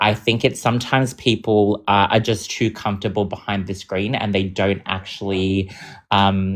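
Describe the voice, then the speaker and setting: A man's fairly low voice, moderate in pace, with monotone, flat intonation. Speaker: debate participant. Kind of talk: live online debate.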